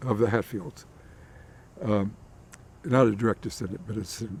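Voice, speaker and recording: The man has an American accent. He speaks in a dark, mellow tone. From US Appalachia, Logan, West Virginia. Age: 80s+. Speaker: interviewee. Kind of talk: interview. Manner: halting, with repeated words.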